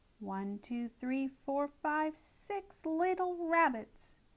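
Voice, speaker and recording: In a put-on character voice, a woman speaks at a very slow pace and a high pitch. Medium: read story. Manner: gloating, repetitive.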